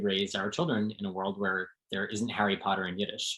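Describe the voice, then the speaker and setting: A man with an American accent speaks in a fairly low pitch, his intonation monotone and flat. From New Jersey, suburbs of New York City. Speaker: translator. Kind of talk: interview conversation.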